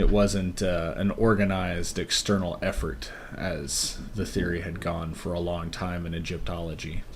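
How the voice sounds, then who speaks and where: A soft-spoken man with a very deep, low pitch talks at a moderate pace with hardly any pauses and ordinary pitch variation. His voice is somewhat breathy, and audible room echo surrounds it. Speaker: podcast co-host. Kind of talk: casual chat. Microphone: levels drop, quiet on mic.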